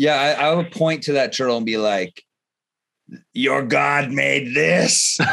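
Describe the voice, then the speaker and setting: This man talks at a fairly slow pace with a medium pitch and lively intonation. His long pauses come frequently. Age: 40s. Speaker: interview host. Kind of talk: casual interview chat. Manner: halting, many fillers.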